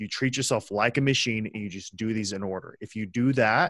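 A plain, everyday voice with an American accent talks at a fairly quick pace. Pitch variation is ordinary, and the background is quiet. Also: man. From West Texas, small town. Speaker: freelancer and sales executive. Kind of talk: casual chat.

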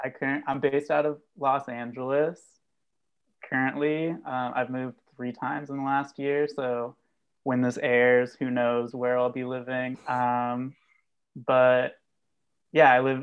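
A man speaks at a very slow pace, his medium-pitched voice holding a fairly even intonation. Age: 20s. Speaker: music fan, hyperpop enthusiast. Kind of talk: casual chat. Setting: video call.

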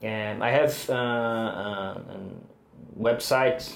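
A man with a Brazilian Portuguese accent talks at a very slow pace. His pitch is medium, and noticeable background noise runs underneath. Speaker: bass player. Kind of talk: interview. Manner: halting.

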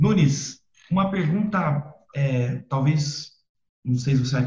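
Speaking very slowly, a man with a fairly high pitch and a dark, mellow tone sounds somewhat breathy, his pitch moving in an ordinary way. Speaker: podcast host. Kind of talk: interview.

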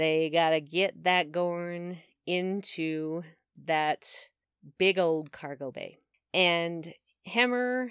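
A woman speaks at a fairly low pitch on a very clean recording with a silent background. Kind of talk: casual chat.

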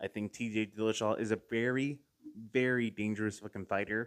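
Here is a man with a normal speaking voice. He talks at a fairly quick pace in a fairly low pitch. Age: 30s. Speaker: MMA podcast host. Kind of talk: casual solo commentary.

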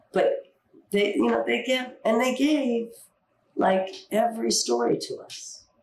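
Audible room echo surrounds a woman with an American accent who speaks at a fairly slow pace. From US Pacific Northwest, Seattle. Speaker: Broadway dancer and actress. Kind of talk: interview.

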